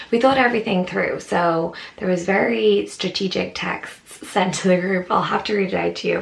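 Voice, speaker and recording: Speaking quietly at a moderate pace with an Irish accent, a woman is heard over noticeable background noise. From Ireland. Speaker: travel vlogger. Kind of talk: casual talk to camera.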